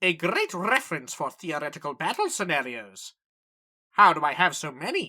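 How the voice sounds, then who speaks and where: A put-on character voice, female-sounding, at a middle pitch and a fairly slow pace. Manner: loud, enthusiastic.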